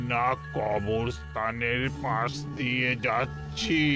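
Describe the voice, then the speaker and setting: A cartoonish character voice drawls at a very slow pace over loud background music. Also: man. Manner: nervous.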